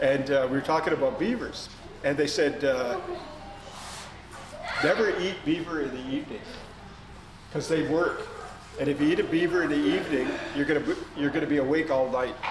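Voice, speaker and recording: A man talks in a fairly high voice with long, frequent pauses. Noticeable background noise is present. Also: ordinary pitch variation, fairly quick pace. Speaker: storyteller. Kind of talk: oral storytelling to a live family audience. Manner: conversational, hesitant.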